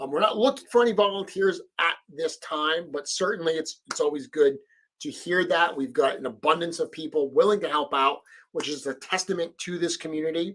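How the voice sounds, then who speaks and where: In a Rhode Island accent, a man speaks with a high pitch. His pace is fairly quick, and his pitch variation is ordinary. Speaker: live stream host and toy customizer. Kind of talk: live stream chat. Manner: casual, with filler words.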